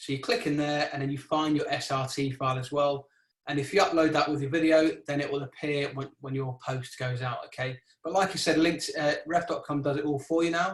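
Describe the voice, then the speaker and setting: Fairly quick in pace, a man talks in a somewhat breathy, fairly high-pitched voice with fairly even intonation. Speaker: video marketing trainer. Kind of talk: webinar presentation. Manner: fast; mumbling.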